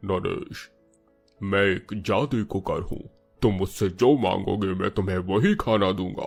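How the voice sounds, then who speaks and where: A cartoonish character voice talks at a very slow pace while faint music plays in the background. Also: man, fairly low pitch for a man. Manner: playful, teasing, comic.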